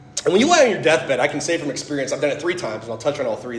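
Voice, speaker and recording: A man talks in an animated tone with lively intonation. Noticeable background noise and audible room echo surround him. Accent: American. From US Midwest, Fort Wayne, Indiana. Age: 30s. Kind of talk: testimony talk.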